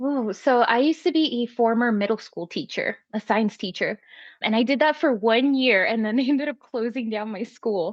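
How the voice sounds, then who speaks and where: In a Spanish accent, a woman speaks with a fairly high pitch and ordinary pitch variation. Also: moderate pace. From Maryland, born in Puerto Rico. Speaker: former teacher and firefighter's wife. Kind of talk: casual podcast interview. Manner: animated.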